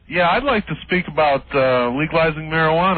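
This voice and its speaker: A man's fairly high voice comes across with noticeable background noise. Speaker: caller. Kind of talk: call-in about marijuana legalization. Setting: phone call to radio show. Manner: halting.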